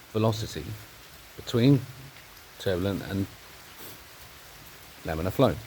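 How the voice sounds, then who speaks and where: A man with an English accent, fairly low pitch and lively intonation at a moderate pace, with long, frequent pauses and noticeable background noise. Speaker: amateur science video maker. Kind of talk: monologue explanation. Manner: halting.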